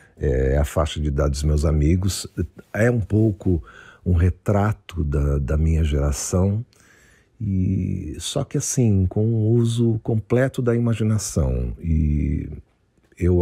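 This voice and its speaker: A man speaks with a very deep, low pitch, a dark, mellow tone, a somewhat breathy quality and lively intonation. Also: very even loudness. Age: 60s. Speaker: writer and former rock musician. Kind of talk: recorded author statement. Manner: halting.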